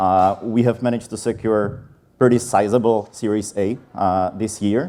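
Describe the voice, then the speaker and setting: In a Czech accent, a man talks at a moderate pace in a fairly low voice with a dark, mellow tone. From Czech Republic. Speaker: sales enablement leader. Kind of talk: conference talk. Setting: stage with audience.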